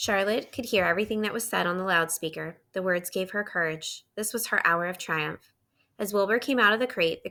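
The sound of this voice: Behind the voice, all is quiet. The reading is unforced, its pitch varying in an ordinary way.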